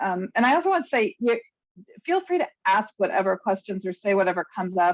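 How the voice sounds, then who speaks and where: This woman speaks at a medium pitch. The sound is dry and close, with no echo. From US East Coast. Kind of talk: presentation. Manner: fast.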